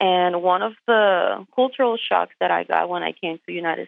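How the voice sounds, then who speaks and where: Moderate pace and ordinary pitch variation, with a Puerto Rican accent. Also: woman. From Puerto Rico. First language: Spanish. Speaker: truck driver. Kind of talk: interview. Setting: phone call.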